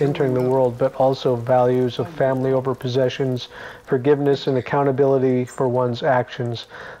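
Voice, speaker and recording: Noticeable background noise sits behind a man with an American accent who talks at a fairly quick pace in a monotone, flat delivery. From Pacific Northwest, United States. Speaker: glass artist. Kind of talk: museum exhibition narration.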